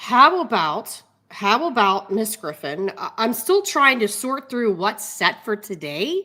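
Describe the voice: A woman's put-on character voice, slow, bright and sharp in tone, with big pitch swings. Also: medium pitch for a woman.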